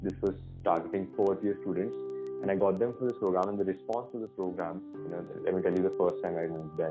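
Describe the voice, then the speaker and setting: A man with an Indian accent, very deep and low in pitch, fairly quick pace, ordinary pitch variation, music in the background. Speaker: tech entrepreneur and student. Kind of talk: podcast interview answer.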